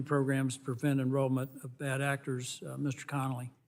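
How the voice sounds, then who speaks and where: Male voice, flat and monotone, at a fairly quick pace. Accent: Southern US. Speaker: congressman. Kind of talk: congressional hearing questioning. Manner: brisk, curt.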